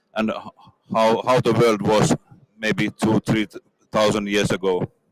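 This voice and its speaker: In a Finnish accent, a man speaks at a fairly low pitch and fairly slow pace, with fairly even intonation and very even loudness, in a dry, close sound with no echo. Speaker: industry executive. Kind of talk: interview. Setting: trade fair booth. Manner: halting.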